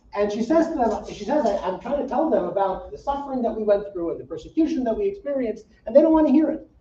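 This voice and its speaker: With noticeable background noise behind him, a man talks at a very fast pace with hardly any pauses, his extremely high pitch making very wide swings. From US Midwest, Saint Paul, Minnesota. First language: Yiddish. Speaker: rabbi. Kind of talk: public talk. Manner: casual, with many fillers and repetitions.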